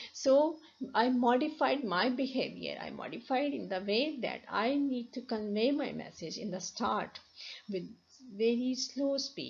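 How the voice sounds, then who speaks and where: Audible room echo surrounds a woman with a Pakistani accent and a high pitch. She talks at a fairly slow pace with ordinary pitch variation. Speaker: university lecturer. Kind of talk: lecture. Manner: halting, many restarts.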